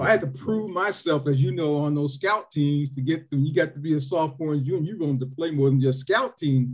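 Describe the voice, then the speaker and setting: A man with an American accent, somewhat breathy and fairly high-pitched, fairly quick, with ordinary pitch variation. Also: hardly any pauses. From Toledo, Ohio. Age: 50s. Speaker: former high school football player. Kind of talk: casual interview.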